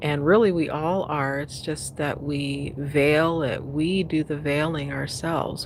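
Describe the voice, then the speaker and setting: A woman speaks at a very slow pace in a very deep, low pitch with monotone, flat intonation. Audible room echo and noticeable background noise fill the recording. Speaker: spiritual coach livestreamer. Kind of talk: casual livestream chat. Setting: outdoors at sunset, livestream. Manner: halting.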